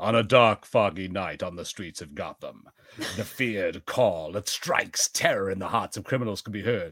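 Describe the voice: In a put-on character voice, the fairly bright tone carries a slightly husky edge, with ordinary pitch variation at a moderate pace. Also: man, low pitch for a man.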